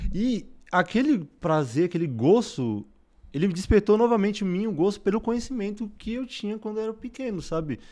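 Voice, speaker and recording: Against a quiet background, a man with a high-pitched, dark, mellow voice speaks at a moderate pace with lively intonation. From São Paulo, Brazil. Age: 20s. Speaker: medical student; interview guest. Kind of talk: interview. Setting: studio. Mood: reflective, personal story. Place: studio. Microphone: studio mic.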